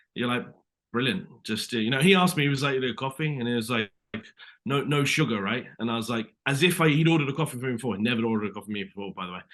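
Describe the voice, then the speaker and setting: Delivered at a very fast pace with lively intonation, the speech carries a British accent. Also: man, medium pitch for a man. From Britain. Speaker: actor. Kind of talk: interview. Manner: animated.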